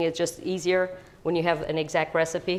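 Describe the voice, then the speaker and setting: A woman talks at a fairly low pitch. Her intonation is monotone and flat. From US Midwest, Chicago (born in Italy, moved at 8). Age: 60s. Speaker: home baker, parishioner. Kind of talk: cooking demonstration. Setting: kitchen. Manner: casual, hesitant with fillers.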